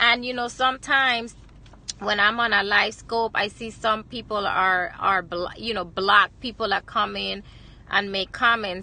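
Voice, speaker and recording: With a Virgin Islands accent, a woman talks at a moderate pace and medium pitch in a bright, sharp tone with fairly even intonation. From US Virgin Islands, Saint Croix. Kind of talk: inspirational livestream talk. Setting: live video stream, lunch break. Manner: hesitant, many fillers.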